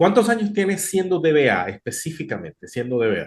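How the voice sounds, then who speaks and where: The man talks fairly quickly. His voice rises and falls over a very wide range. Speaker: podcast host. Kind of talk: interview.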